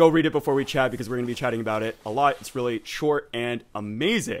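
Here a man speaks with an American accent. His pitch varies in an ordinary way. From Texas. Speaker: historian and podcast host; host, interviewer. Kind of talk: interview. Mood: upbeat, friendly. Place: home room. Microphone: studio mic.

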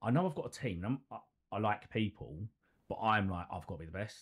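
Speaking fast with lively intonation, a man uses a fairly low pitch with a slightly husky edge.

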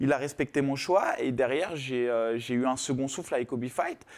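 A man talks at a moderate pace. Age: 30s. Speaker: MMA fighter; guest. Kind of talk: casual chat. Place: studio.

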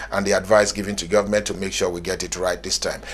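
A man talks over noticeable background noise. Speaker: TV business show presenter. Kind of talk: TV interview and presenting.

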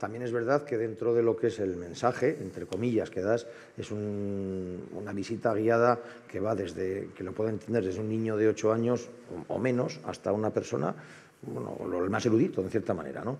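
The man's pitch is fairly low with ordinary variation. He keeps a moderate pace. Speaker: heritage association member; panelist. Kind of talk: conference panel talk. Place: hall. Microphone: headset.

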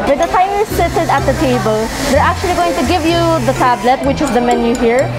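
A woman at a fairly quick pace over loud music in the background. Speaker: vlogger. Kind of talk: casual vlog chat. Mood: excited, enthusiastic. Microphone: phone near.

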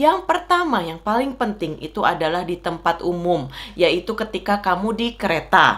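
Speaking at a moderate pace, a woman talks with hardly any pauses. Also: lively intonation. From Indonesia. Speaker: vlogger. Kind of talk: casual talk to camera. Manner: loud and excitable. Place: home room.

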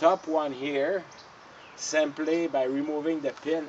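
A man is speaking. There is light background noise. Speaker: tractor owner. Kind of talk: tutorial. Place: garden. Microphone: camera far.

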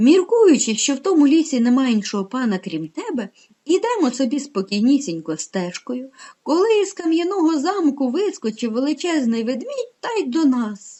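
Using a put-on character voice, a woman speaks at a moderate pace in a high voice with very wide pitch swings. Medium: read story. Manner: very polite, flattering.

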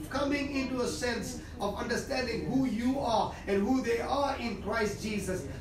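The man's voice is extremely high and his intonation fairly even. The room echoes audibly and background noise is noticeable. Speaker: preacher giving prophecy. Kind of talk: fervent prophetic prayer, declaring and praying aloud. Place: home room.

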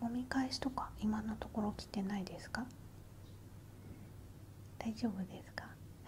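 A woman is whispering. She speaks only in a whisper. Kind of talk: soft-spoken roleplay address to viewer. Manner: soft close-mic ASMR speech. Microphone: earbuds.

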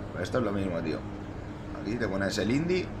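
Over noticeable background noise, a man with a Spanish accent talks at a very fast pace and a fairly low pitch. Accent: Peninsular Spanish. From Spain. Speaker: sim racing streamer. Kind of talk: live gameplay commentary. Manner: casual, animated. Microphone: headset.

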